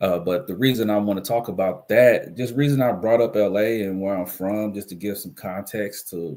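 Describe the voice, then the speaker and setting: This man's voice sits at a fairly low pitch. He keeps a fairly even intonation at a moderate pace. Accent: American. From US West Coast, Los Angeles. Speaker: livestream commentary host. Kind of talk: casual live stream commentary.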